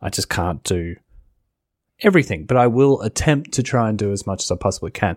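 A man's ordinary speaking voice, fairly low in pitch and at a fairly quick pace, in a very clean recording with a silent background and a dry, close sound with no echo. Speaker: wrestling podcast host. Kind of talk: casual solo recap and review of wrestling shows. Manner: casual, chatty, conversational.

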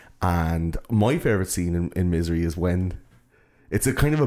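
A man's very deep, low voice with a dark, mellow tone on a very clean recording with a silent background. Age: 30s. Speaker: film podcast host. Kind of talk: casual chat.

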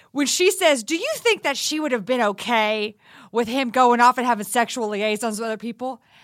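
A woman with an American accent speaks at a fairly quick pace in a high pitch, her tone animated and her intonation lively. The recording is very clean with a silent background. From Texas. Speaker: comedian and podcast host. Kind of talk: casual chat.

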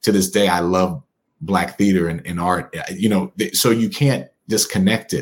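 A man speaks at a moderate pace with a very deep, low pitch. His pitch variation is ordinary. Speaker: attorney, author and local politician. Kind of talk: interview. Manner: animated.

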